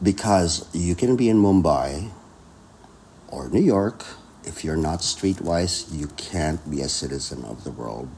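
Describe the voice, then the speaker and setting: A man with a very deep, low pitch speaks at a fairly slow pace, his dark, mellow tone carrying vocal fry and lively intonation. His loudness swings widely, over light background noise. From Philippines. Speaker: concert pianist; podcast guest. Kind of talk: casual interview chat. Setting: in Austria, mountain ski town. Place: home room.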